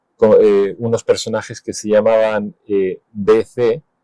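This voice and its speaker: A man's dark, mellow tone at a very slow pace, with fairly even intonation and a dry, close sound with no echo. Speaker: illustrator and cartoonist. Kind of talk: interview answer.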